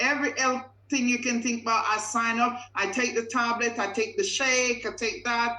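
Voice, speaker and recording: A woman speaks with a Caribbean accent at a fairly high pitch. Her tone is bright and sharp. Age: 50s. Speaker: customer giving a testimonial. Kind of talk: testimony.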